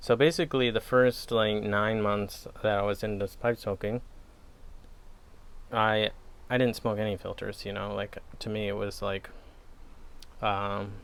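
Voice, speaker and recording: A relaxed man with a Wisconsin accent, a fairly low pitch, fairly even intonation, a fairly slow pace and long, frequent pauses. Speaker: pipe tobacco reviewer. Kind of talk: casual chat. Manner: relaxed, hesitant with fillers.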